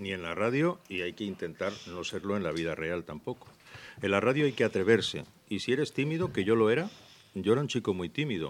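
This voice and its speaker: With an unremarkable speaking voice, a man talks at a fairly quick pace, his fairly low pitch moving in lively intonation. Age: 60s. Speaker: radio news presenter. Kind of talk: interview answering children's questions. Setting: school room with live audience of children.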